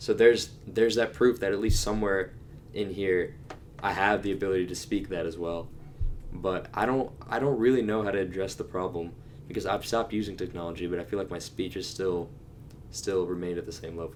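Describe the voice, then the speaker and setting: Over music in the background, a man talks at a fairly quick pace. His voice is fairly low, with ordinary pitch variation. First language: Telugu. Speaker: podcast co-host. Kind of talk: casual chat. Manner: halting, many restarts.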